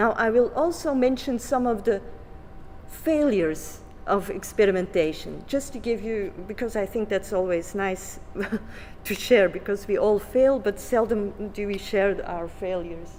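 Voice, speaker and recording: A woman with a non-native accent talks at a moderate pace and medium pitch with lively intonation, with music in the background and audible room echo. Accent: non-native English speaker. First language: Flemish. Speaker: education researcher. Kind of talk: conference presentation. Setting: conference. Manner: halting, with many fillers.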